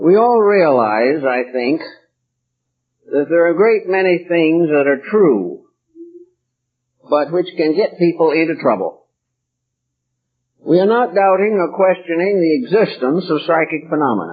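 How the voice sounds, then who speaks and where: A man's high-pitched voice with lively intonation, a fairly slow pace, long and frequent pauses, and very even loudness. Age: 80s+. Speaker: lecturer. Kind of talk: live lecture.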